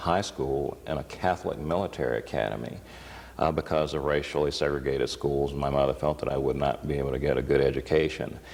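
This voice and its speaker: A man with an American accent talks very fast in a very deep, low voice. His intonation stays fairly even. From US South, Atlanta, Georgia. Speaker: state treasurer, politician. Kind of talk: TV interview. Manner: hesitant, many fillers.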